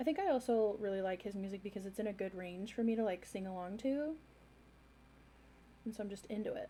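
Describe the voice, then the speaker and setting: A woman speaks at a very fast pace, broken by long, frequent pauses. Her tone is dark, mellow and somewhat breathy, with ordinary pitch variation. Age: 30s. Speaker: art livestreamer. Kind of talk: casual chat. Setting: livestream at home. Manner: rambling filler-heavy.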